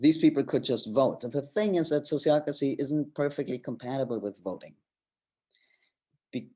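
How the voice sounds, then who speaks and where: The tone is dark and mellow, with lively intonation. The pace is moderate. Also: man. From Germany. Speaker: co-founder of a governance organization. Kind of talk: presentation talk.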